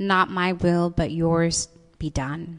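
A woman with an unremarkable speaking voice uses ordinary pitch variation. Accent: American. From US Pacific Northwest, Seattle. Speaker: pastor. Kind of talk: sermon. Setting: church service streamed live online.

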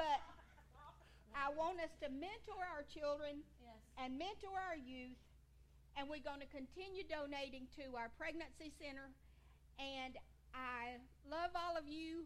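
A woman with a Georgia accent at a high pitch, ordinary pitch variation and a fairly slow pace, long, frequent pauses, plus audible room echo and noticeable background noise. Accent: US South (Georgia). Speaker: seniors' ministry leader. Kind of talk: church talk.

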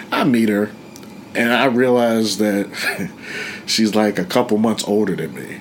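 In an American accent, a man speaks fairly slowly at a fairly low pitch with ordinary pitch variation, long, frequent pauses and noticeable background noise. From Pittsburgh, Pennsylvania. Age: 30s. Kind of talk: interview, life story. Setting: studio. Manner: casual, halting with fillers.

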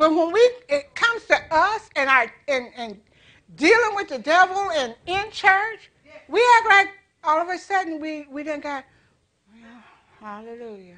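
A woman's raised, projected voice at an extremely high pitch, bright and sharp in tone, with very wide pitch swings, big swings in loudness and a fairly slow pace over a quiet background. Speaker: preacher. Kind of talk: sermon. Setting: church.

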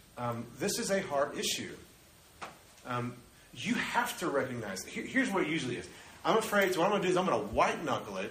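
A man's animated tone at a very fast pace with very wide pitch swings, audible room echo and noticeable background noise. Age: 30s. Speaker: pastor. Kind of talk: sermon.

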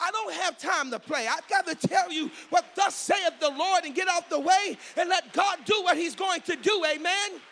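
With an American accent, a man speaks in an extremely high pitch, using a raised, projected voice, an animated tone and ordinary pitch variation. He leaves hardly any pauses, and noticeable background noise runs beneath him. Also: moderate pace. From Milwaukee, Wisconsin, US. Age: 50s. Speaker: pastor. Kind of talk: sermon. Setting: church.

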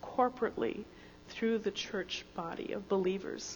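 Fairly slow, fairly evenly intoned speech from a woman at a medium pitch, with noticeable background noise. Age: 60s. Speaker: founding church member. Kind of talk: panel testimony in church service. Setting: church.

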